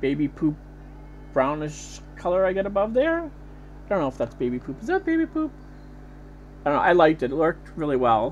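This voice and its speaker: A woman's voice with long, frequent pauses and noticeable background noise. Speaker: beauty vlogger. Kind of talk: makeup tutorial voice-over. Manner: casual, rambling.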